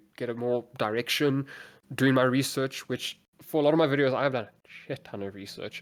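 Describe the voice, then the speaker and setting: Mumbling comes through in a very clean recording with a silent background. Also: man. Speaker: content creator. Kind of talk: casual chat.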